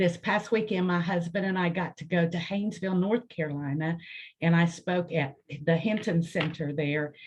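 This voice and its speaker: Speaking at a moderate pace with an American accent, a woman has a somewhat breathy, fairly low voice and fairly even intonation. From Lawrence County, southern Ohio (Appalachian). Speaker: college outreach coordinator and storyteller. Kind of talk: self-introduction on a video call. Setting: video call.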